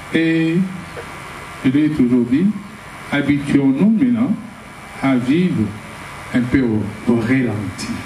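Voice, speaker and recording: Amid noticeable background noise and audible room echo, a man with a fairly high pitch speaks at a very slow pace with long, frequent pauses and lively intonation. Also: very even loudness. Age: 70s. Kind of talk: testimony.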